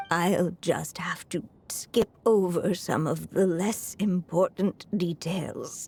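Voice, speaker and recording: A woman's cartoonish character voice at medium pitch, very slow in pace, with fairly even intonation. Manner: thoughtful, gentle.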